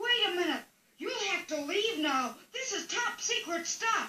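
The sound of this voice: In a cartoonish character voice with an extremely high pitch, the speaker talks at a moderate pace.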